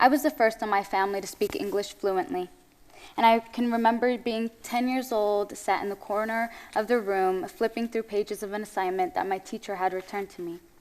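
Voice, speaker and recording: A woman speaks with an Eritrean accent at a fairly high pitch. Her pace is fairly quick. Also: ordinary pitch variation, very clean recording, silent background. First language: Tigrinya. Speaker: spoken word poet. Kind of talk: spoken word performance. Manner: expressive, measured.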